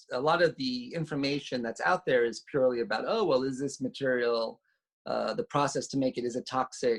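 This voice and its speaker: A man with a fairly high pitch talks with a New York accent. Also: dry, close sound with no echo. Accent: New York American. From US, New York City. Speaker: designer and researcher. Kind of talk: interview conversation. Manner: halting, many fillers.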